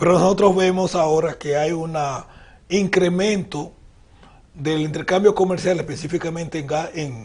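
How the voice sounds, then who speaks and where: A man's high voice at a fairly slow pace, with ordinary pitch variation. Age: 60s. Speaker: audience questioner. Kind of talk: question to guest.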